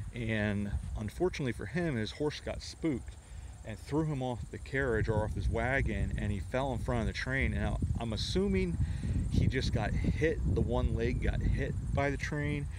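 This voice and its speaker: Against loud background noise, a man speaks in a dry sound with no echo. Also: moderate pace. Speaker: local history vlogger. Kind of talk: casual storytelling commentary. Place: open country. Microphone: phone near.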